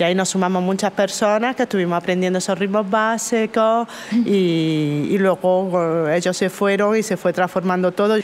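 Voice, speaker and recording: A woman speaks in a plain, everyday voice at a medium pitch and moderate pace, with fairly even intonation, very even loudness and hardly any pauses. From Jaén, Andalusia, Spain. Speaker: folk musician. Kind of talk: casual chat.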